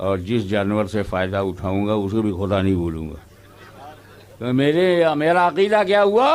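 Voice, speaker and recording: A man is speaking. His pitch swings very widely. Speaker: Islamic preacher giving a sermon. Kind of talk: religious sermon to a live audience (jalsa). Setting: public gathering, live jalsa recording.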